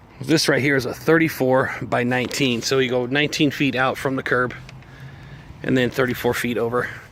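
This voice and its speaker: Noticeable background noise accompanies a man's fairly quick speech. His intonation is monotone and flat, his loudness very even. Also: medium pitch for a man. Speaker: paving estimator. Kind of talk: site walkthrough dictation. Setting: outdoors.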